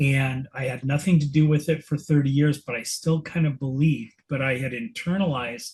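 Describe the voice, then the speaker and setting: A somewhat breathy man's voice, fairly high in pitch, with fairly even intonation at a moderate pace. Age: 60s. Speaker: book club member. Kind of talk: casual group discussion.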